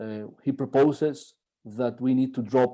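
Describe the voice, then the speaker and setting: A man with a Spanish accent and a dark, mellow tone speaks at a fairly slow pace with fairly even intonation. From Spain. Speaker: professor. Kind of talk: keynote lecture. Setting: conference. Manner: halting.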